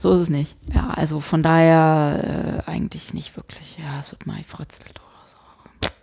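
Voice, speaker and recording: Talking at a fairly slow pace with hardly any pauses, a woman's loudness moves in big swings. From Saxony-Anhalt, eastern Germany (Hettstedt). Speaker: podcast co-host. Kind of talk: casual chat.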